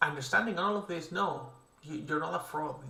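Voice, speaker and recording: With a non-native accent, a man speaks at a fairly high pitch and moderate pace with ordinary pitch variation, and audible room echo surrounds him. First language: not English. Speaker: artist streaming creature design. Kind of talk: casual livestream commentary while drawing. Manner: casual, with fillers and self-corrections.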